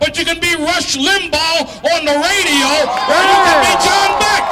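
A man speaks in a raised, projected voice at an extremely high pitch and a fairly slow pace, with crowd noise behind him. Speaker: activist rally speaker. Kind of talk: fiery protest rally speech to a crowd, call-and-response style. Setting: outdoor rally with crowd. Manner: impassioned, rising oratorical rhythm with stacked repetitions; stammering in bursts while riffing off the crowd. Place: street. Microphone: handheld.

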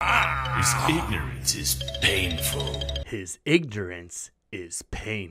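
A man's put-on character voice, raspy and very deep, at a very slow pace over music in the background. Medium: dub. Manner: smug, taunting.

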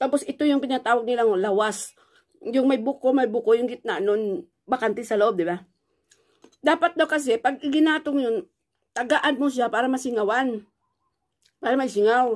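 A woman speaks with a high pitch. Her speech has long, frequent pauses. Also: ordinary pitch variation, moderate pace, quiet background. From Philippines. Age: 50s. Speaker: vlogger; vlogger telling her life story. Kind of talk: personal storytelling vlog; casual vlog chat. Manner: halting, with frequent fillers. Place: home room. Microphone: phone near.

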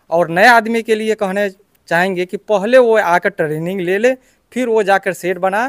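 Speaking at a fairly slow pace, a man with a high-pitched voice and ordinary pitch variation is heard against a quiet background in a dry sound with no echo. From Bihar, India (Muzaffarpur); Bihar, India. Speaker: goat farmer, trainee. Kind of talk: interview. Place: farm machine.

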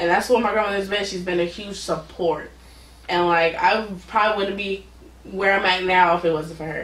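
Audible room echo around fairly even intonation. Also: woman, medium pitch for a woman, moderate pace. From Oakland, California; California. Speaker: podcast guest. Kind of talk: casual interview. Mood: warm, reflective. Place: home room.

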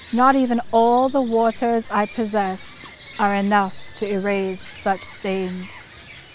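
Very slow speech with fairly even intonation over noticeable background noise. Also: woman. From Trinidad. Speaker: poet, writer. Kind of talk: poetry reading. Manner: rousing.

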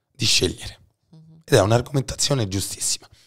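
A man is speaking. His voice is somewhat breathy. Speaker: podcast host. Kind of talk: casual chat.

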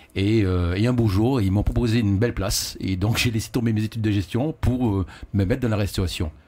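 Speaking at a fairly quick pace, a man has a dark, mellow tone, ordinary pitch variation and very even loudness. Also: fairly low pitch for a man. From French Antilles. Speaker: caterer. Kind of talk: casual chat. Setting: radio studio. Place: studio. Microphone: studio mic.

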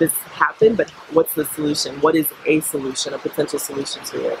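A woman's very deep, low pitch with an American accent, over noticeable background noise. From United States. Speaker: social entrepreneur; interviewee. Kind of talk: interview. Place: farm machine.

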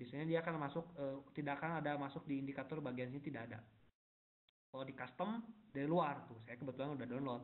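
A man talks very quickly, his pitch varying in an ordinary way. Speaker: forex technical analyst presenting webinar; presenter. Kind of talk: webinar tutorial. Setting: online webinar. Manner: casual, many fillers. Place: home room. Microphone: unstable internet connection; webcam.

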